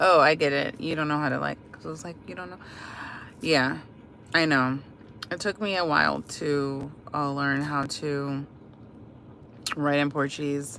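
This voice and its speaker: A woman with an American accent speaks at a very deep, low pitch. Her loudness swings widely. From Washington DC, US. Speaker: livestreamer. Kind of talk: casual chat. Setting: live stream. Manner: hesitant, many fillers.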